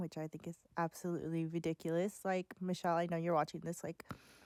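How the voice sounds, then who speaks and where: Her fairly low pitch and dark, mellow tone come with monotone, flat intonation as this woman speaks in a dry, close sound with no echo. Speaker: vlogger. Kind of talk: casual voice-over vlog while coloring. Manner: casual, filler-heavy.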